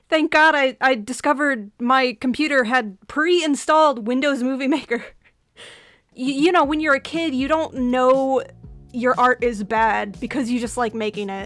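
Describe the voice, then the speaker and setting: Over a very clean recording with a silent background, a woman with an American accent and a high pitch speaks at a moderate pace in an animated tone with ordinary pitch variation. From US Midwest. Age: 20s. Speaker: animator and YouTuber. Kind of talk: casual commentary over speedpaint.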